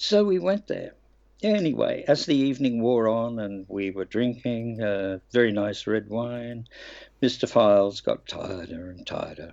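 A fairly slow, medium-pitched male voice with lively intonation and big swings in loudness. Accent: Australian. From Australia. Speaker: actor. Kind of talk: interview.

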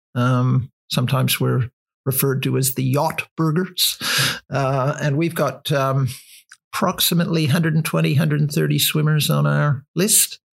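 Somewhat breathy and fairly high in pitch, a man with a Canadian accent speaks at a fairly slow pace with ordinary pitch variation and very even loudness. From Canada. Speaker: author and cold water swimmer. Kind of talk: casual interview. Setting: at his home.

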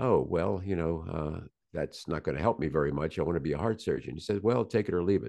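A man with an American accent talks at a very fast pace in a very deep, low pitch with vocal fry. His tone is dark and mellow, and his intonation lively. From US South, Virginia. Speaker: surgeon and podcaster. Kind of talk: casual interview.

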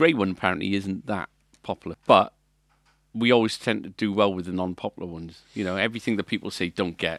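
A man speaks very fast at a fairly low pitch, with ordinary pitch variation and big swings in loudness, in a dry, close sound with no echo. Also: very clean recording, silent background. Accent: Welsh. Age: 40s. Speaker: music shop owner and podcast co-host. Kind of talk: casual chat.

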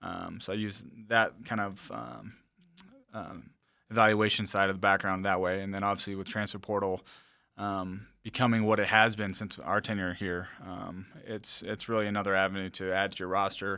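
A man's bright, sharp, fairly low-pitched voice with an American accent at a moderate pace, on a very clean recording with a silent background. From Wisconsin. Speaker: college football player personnel director. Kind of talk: podcast interview.

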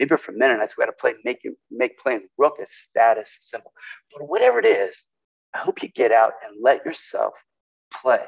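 Loudness swings widely as a man talks at a moderate pace with long, frequent pauses, the sound dry and close with no echo. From California. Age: 60s. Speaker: pastor. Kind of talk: sermon.

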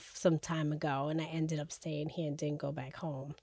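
A woman speaks with a very deep, low pitch and a dark, mellow tone in a monotone, flat intonation. The recording is very clean with a silent background. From New York. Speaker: licensed social worker. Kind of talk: casual conversational podcast.

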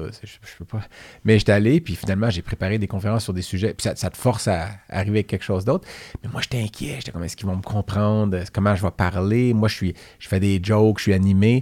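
With a Quebec accent, a man talks at a very fast pace in a fairly low pitch and a dark, mellow tone, with fairly even intonation but big swings in loudness. The very clean recording has a silent background and a dry, close sound with no echo. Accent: Québécois French. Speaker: veterinarian podcast co-host. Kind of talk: casual chat.

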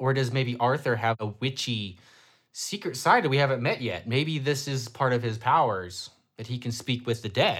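In an unremarkable speaking voice with an American accent, a man talks at a moderate pace and medium pitch, recorded very cleanly against a silent background. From Ohio. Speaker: podcast co-host. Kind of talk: casual chat.

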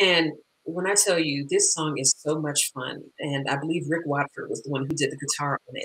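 Heard as a dry, close sound with no echo, a woman with an American accent has a very deep, low voice, a bright, sharp tone and fairly even intonation. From Los Angeles, US. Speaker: singer-songwriter. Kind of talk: interview conversation.

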